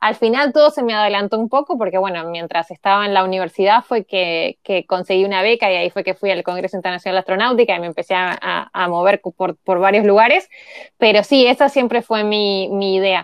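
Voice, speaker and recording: The woman's pitch sits in the medium range. She talks fairly quickly. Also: ordinary pitch variation. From Uruguay, Montevideo. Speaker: tech entrepreneur, engineer. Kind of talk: interview conversation.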